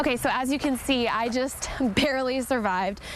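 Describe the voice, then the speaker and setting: A woman's voice over noticeable background noise. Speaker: TV news reporter. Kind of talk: TV news report.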